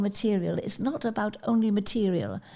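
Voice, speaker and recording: A woman talks at a moderate pace, her medium-pitched voice dark and mellow with ordinary pitch variation. The recording is very clean, with a silent background. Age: 80s+. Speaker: charity founder and skydiver. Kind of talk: interview answer.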